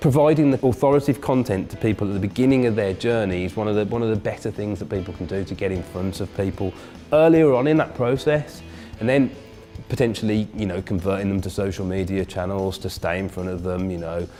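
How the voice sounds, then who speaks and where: A man's fairly low voice, very fast and lively in intonation, with music in the background. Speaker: search marketing business owner. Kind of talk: interview answer.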